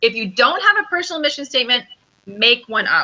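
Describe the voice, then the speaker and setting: A woman speaks loudly in a high pitch. Her tone is bright and sharp. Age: 40s. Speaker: intuitive business coach. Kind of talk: interview conversation.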